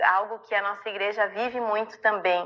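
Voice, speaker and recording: Her fairly high voice shows ordinary pitch variation as this woman talks. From southern Brazil (Rio Grande do Sul). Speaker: church ministry leader. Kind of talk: online ministry training talk. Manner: warm, conversational.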